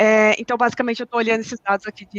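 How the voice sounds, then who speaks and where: With a slight non-native accent, this voice comes through in a dry, close recording with no echo. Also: woman. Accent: slight foreign tinge from living abroad. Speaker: cloud data engineer. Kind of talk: technical live Q&A with screen demo. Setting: online live stream. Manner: halting, many fillers and restarts.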